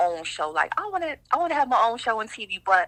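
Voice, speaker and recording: With an American accent, a woman talks at a very fast pace in a bright, sharp tone. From upstate New York, Rochester. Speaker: blogger and show host. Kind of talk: podcast interview. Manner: casual, lots of fillers.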